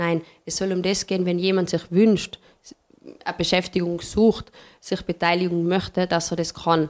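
A woman's fairly low voice at a moderate pace, monotone and flat in intonation. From Tyrol, Paznaun valley (Austria). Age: young. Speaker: hotelier and tourism industry representative. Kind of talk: interview conversation.

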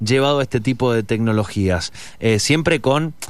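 On a very clean recording with a silent background, a man talks at a fairly slow pace in a normal speaking voice of medium pitch. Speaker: radio host. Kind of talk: radio interview.

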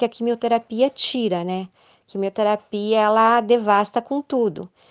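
A woman speaks with fairly even intonation at a fairly high pitch. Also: quiet background. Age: 50s. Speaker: ultramarathon runner and cancer survivor. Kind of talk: interview testimony. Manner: halting, with many hesitations.

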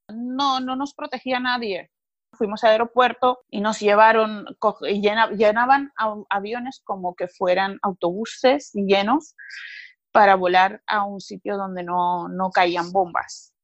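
A woman speaks at a very slow pace with a medium pitch. Her pitch varies in an ordinary way, and the sound is dry and close with no echo. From Georgia, Sukhumi (Abkhazia). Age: 30s. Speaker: war survivor. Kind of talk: testimony.

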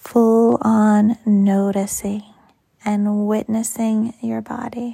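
A woman with a fairly high pitch speaks at a very slow pace in a dark, mellow, somewhat breathy voice. Her intonation is monotone and flat, and her tone is soothing and calm. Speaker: yoga teacher. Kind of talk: guided meditation. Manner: slow, soft, soothing; calm, gentle pacing with long pauses.

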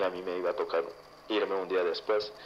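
Here a man is speaking. He talks at a moderate pace. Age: 20s. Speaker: listener sharing paranormal story. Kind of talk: testimony.

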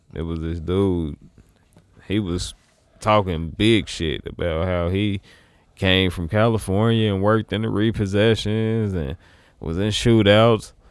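A man speaks at a fairly low pitch and a fairly slow pace. His intonation is fairly even, broken by long, frequent pauses. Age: 30s. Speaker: musician and actor. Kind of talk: casual chat.

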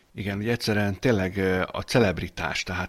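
On a very clean recording with a silent background, the intonation stays fairly even. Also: man. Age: 40s. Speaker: political podcast co-host. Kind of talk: casual political chat.

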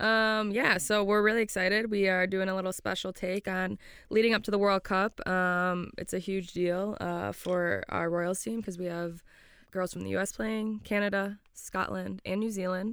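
A woman with an American accent and a normal speaking voice talks at a moderate pace and medium pitch with ordinary pitch variation, on a very clean recording with a silent background. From Florida, US. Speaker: professional footballer and podcast co-host. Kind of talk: casual chat. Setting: studio.

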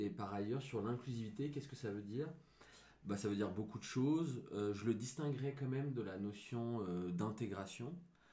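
A man's somewhat breathy voice at medium pitch, dark and mellow in tone, with audible room echo. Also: ordinary pitch variation, moderate pace. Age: 30s. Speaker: digital marketer. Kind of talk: casual chat.

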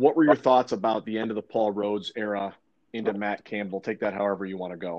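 In an ordinary speaking voice, a man talks fairly quickly at a fairly low pitch, with ordinary pitch variation and big swings in loudness. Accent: American. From eastern Iowa, US Midwest. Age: 40s. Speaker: podcast host. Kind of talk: casual chat.

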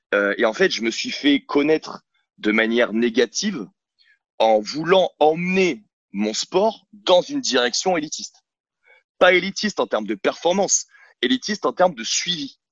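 A man's fairly high voice with very wide pitch swings, a fairly slow pace and long, frequent pauses. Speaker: fitness coach and gym owner. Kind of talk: podcast interview. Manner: animated.

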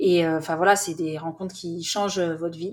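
A woman with a normal speaking voice keeps fairly even intonation at a moderate pace. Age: 40s. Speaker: author and documentary filmmaker. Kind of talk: interview.

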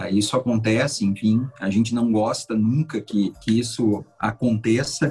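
A man talks at medium pitch with a somewhat breathy voice. He uses hardly any pauses and keeps his loudness very even. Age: 40s. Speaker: TV reporter and journalism professor. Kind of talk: podcast interview. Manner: hesitant, repeats words.

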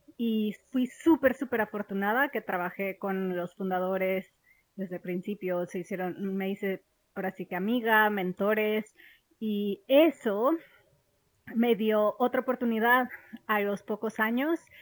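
Recorded very cleanly against a silent background, with a dry, close sound and no echo, a woman speaks at a fairly slow pace and a fairly high pitch with ordinary pitch variation, in a Mexican accent. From Mexico. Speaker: podcast host, banking product expert. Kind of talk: casual monologue. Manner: animated.

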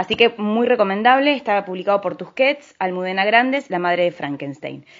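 A woman with an unremarkable speaking voice, medium pitch and lively intonation, at a fairly quick pace. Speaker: radio host. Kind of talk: radio book review show.

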